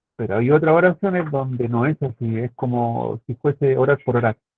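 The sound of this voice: Recorded dry and close with no echo, a man speaks at a medium pitch and moderate pace with ordinary pitch variation.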